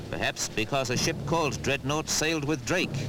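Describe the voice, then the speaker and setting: A man delivers his words at a moderate pace and with ordinary pitch variation while music plays in the background. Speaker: newsreel narrator. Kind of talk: newsreel narration.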